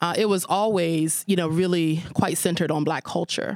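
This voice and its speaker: A woman talks at a moderate pace with a fairly low pitch. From Pittsburgh, Hill District. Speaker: community development organization leader. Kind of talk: live panel interview. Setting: stage with audience.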